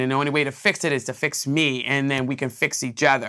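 A bright, sharp tone on a very clean recording with a silent background. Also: woman. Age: 50s. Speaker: podcast host and nonprofit founder. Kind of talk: personal testimony. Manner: halting, with many fillers and repetitions.

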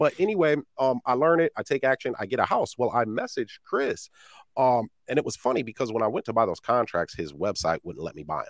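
With vocal fry and very wide pitch swings, a man talks at medium pitch in a dry, close sound with no echo. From Iowa, US Midwest. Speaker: real estate investor and coach. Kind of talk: interview. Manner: casual, animated.

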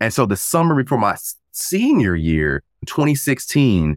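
On a very clean recording with a silent background, a man speaks with an American accent and very wide pitch swings. The sound is dry and close, with no echo. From US South. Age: 20s. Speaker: voiceover actor and podcaster. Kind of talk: casual interview chat. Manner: conversational, friendly.

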